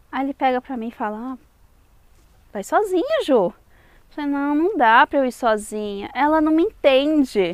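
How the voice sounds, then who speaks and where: Pitch swings very widely and loudness shifts a lot, with long, frequent pauses. The pace is moderate and the sound is dry and close with no echo. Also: woman, high pitch for a woman. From Brazil. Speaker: vlogger. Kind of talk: video outro; casual vlog storytelling.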